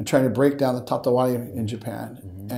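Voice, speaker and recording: Speaking at a fairly quick pace, a man with an American accent has an unremarkable speaking voice at a medium pitch. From US West Coast, Northern California. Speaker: education and tech entrepreneur. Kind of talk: interview.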